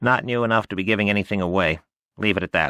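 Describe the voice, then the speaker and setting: A man puts on a character voice with a fairly low pitch. He talks at a very fast pace. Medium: read story. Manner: quick, chattering, clipped.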